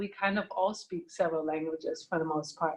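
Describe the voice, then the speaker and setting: This is a woman's voice. She speaks with a Slovak accent. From Germany. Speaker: triathlete and art professional. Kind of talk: podcast interview. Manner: halting.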